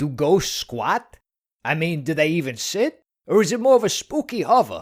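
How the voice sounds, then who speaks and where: A cartoonish character voice at middle pitch and moderate pace swings very widely in pitch, on a very clean recording with a silent background. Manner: sarcastic.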